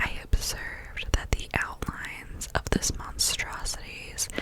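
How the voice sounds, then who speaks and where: A woman whispering at a very slow pace over noticeable background noise. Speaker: ASMR creator. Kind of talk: whispered ASMR story reading. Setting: home recording with condenser microphone. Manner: whispered, soft-spoken.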